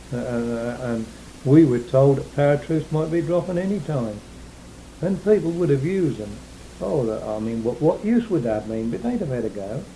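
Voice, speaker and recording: A man at a moderate pace with very wide pitch swings, amid noticeable background noise. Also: fairly high pitch for a man. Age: 60s. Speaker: war-time eyewitness. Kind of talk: oral history interview. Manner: halting.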